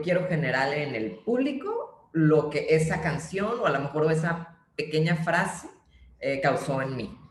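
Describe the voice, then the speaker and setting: A woman with a very deep, low pitch speaks at a fairly slow pace, with audible room echo and noticeable background noise. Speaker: playwright. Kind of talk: interview conversation.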